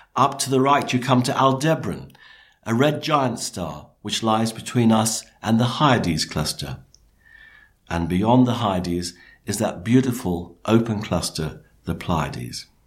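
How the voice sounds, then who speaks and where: Talking at a fairly slow pace with a British accent, a man of medium pitch uses lively intonation with some vocal fry. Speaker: astronomer, night sky presenter. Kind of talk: scripted narration.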